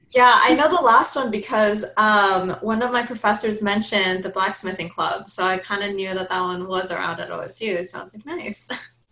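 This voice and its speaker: A woman with an American accent talks at a moderate pace with hardly any pauses, ordinary pitch variation and big swings in loudness, amid audible room echo and noticeable background noise. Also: medium pitch for a woman. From Oregon, Forest Grove. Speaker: honors college student. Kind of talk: casual interview.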